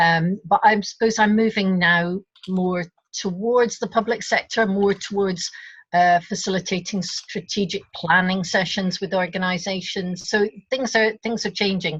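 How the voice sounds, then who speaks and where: A woman with a Scottish accent, somewhat breathy, fairly slow and fairly even in intonation, against a quiet background. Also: medium pitch for a woman. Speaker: facilitator, board candidate. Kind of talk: online meeting self-introduction. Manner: halting.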